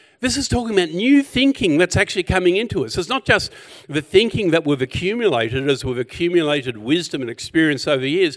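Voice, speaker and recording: Delivered at a very fast pace with an Australian accent, the voice swings very widely in pitch, recorded with a dry, close sound and no echo. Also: man. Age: 60s. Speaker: pastor. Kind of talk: sermon.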